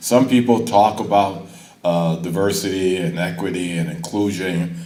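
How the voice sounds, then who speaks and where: With a very deep, low voice, a man speaks at a moderate pace amid noticeable background noise and audible room echo. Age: 70s. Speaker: college board member. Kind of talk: ceremony speech.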